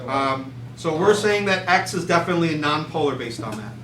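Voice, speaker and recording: Amid noticeable background noise and audible room echo, a man rattles along at a very fast pace with lively intonation. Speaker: chemistry teacher. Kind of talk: classroom lecture. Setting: classroom with students.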